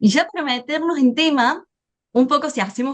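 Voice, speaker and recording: The speaker is a woman. She talks with a non-native accent. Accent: foreign accent noticeable (non-Spain). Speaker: AI business speaker. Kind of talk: webinar presentation.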